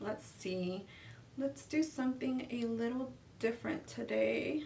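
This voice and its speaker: A woman with an American accent speaks at a fairly slow pace in a fairly high pitch, with ordinary pitch variation, over noticeable background noise. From California. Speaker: beauty youtuber. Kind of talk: makeup tutorial. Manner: casual chatty.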